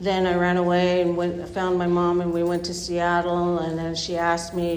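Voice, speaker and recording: Amid noticeable background noise and audible room echo, a woman talks at a moderate pace. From Bay Area, California. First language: not English (third language). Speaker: recovering addict sharing story. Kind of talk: testimony. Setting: speaker meeting with audience. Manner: halting, many fillers.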